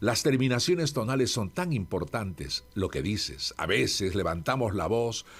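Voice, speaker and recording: Speaking at a fairly slow pace, a man with a medium pitch and vocal fry swings very widely in pitch. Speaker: radio institutional voice, locution teacher and author. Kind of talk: interview answer about speaking and voice. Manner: measured, warm, articulate.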